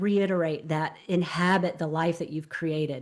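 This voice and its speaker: Speaking in a Southern US accent, a woman keeps a fairly quick pace. Her voice is fairly low, with fairly even intonation. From US South. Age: 60s. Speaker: transformational coach. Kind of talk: interview. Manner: halting.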